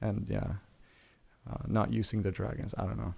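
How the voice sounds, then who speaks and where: A man speaks with a Swedish accent. His pitch sits fairly low. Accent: Swedish, sometimes taken for Irish. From Sweden. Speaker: pop culture streamer. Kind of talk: livestream chat. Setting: livestream. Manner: halting, many fillers. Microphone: good microphone.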